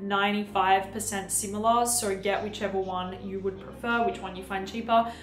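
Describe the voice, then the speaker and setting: A woman at a moderate pace, with audible room echo and light background noise. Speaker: beauty YouTuber. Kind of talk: product review vlog. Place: home room.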